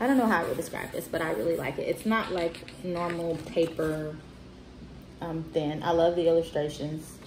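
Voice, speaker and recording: A woman with a fairly low pitch speaks at a moderate pace, with audible room echo and noticeable background noise around her. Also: ordinary pitch variation. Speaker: bookstore owner reviewing children's books. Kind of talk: casual book review video. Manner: hesitant, many fillers.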